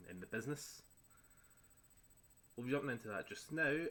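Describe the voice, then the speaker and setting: A man talks at a very fast pace in a bright, sharp tone with a Scottish accent. His pitch varies in an ordinary way. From Scotland. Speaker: gaming streamer. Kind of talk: gameplay tutorial commentary. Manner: relaxed, with frequent filler words.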